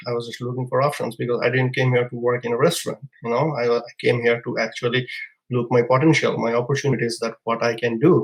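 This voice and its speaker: A man with a Bangladeshi accent at a fairly quick pace. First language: Bengali. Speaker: immigrant entrepreneur. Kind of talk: podcast interview storytelling. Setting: live podcast. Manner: halting.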